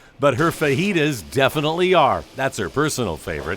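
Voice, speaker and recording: This man talks at a fairly quick pace with vocal fry. The recording is very clean, with a silent background. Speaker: TV news reporter. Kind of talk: TV news feature narration.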